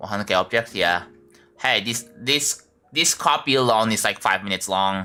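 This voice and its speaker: A man with an Indonesian accent, fairly low in pitch with ordinary pitch variation, over music in the background. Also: moderate pace. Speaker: game streamer. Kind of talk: live game-building stream chat. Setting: live stream. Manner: casual, halting with repetitions.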